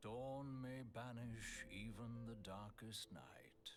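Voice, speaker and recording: Using a put-on character voice at a medium pitch, a man talks at a very slow pace with fairly even intonation over clear background noise. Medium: actual play. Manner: solemn, archaic.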